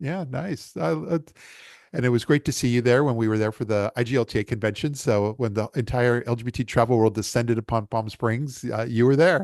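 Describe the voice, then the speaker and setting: At a fairly quick pace, a man speaks at medium pitch with ordinary pitch variation. The sound is dry and close with no echo, over a quiet background. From Los Angeles. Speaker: interview show host. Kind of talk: interview. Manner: halting, many fillers and restarts.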